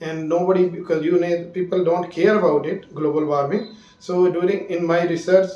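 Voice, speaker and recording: A moderate-paced voice with a Punjabi accent, monotone and flat, with hardly any pauses, noticeable background noise and audible room echo. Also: man, high pitch for a man. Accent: Indian Punjabi English. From India, Punjab (Jalandhar). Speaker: space scientist. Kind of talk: interview.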